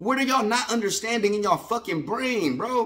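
Over a quiet background, a man projects a raised voice with a bright, sharp tone, high pitch and lively intonation. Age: 30s. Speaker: sports fan vlogger. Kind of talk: casual rant. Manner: animated. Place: home room. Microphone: phone near.

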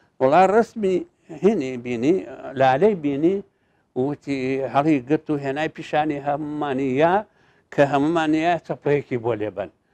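This man has a dark, mellow tone and a fairly high pitch. His pace is moderate. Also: ordinary pitch variation. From Iraqi Kurdistan, Darbandikhan area; Iraqi Kurdistan. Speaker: teacher recounting his life story. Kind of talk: interview, life-story recollection. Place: studio. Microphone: lapel.

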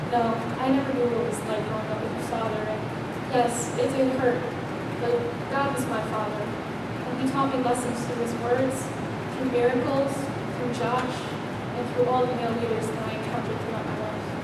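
A woman's voice with audible room echo and loud background noise. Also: moderate pace. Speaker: speaker. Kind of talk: staged dramatic monologue. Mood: earnest, emotional. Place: church. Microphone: camera far.

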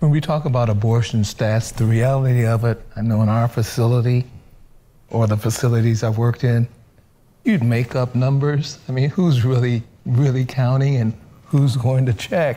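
In a dark, mellow tone, a somewhat breathy man speaks at a moderate pace with fairly even intonation, very even loudness, and long, frequent pauses. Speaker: physician; panelist. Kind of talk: panel testimony. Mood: sober, confessional. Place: studio.

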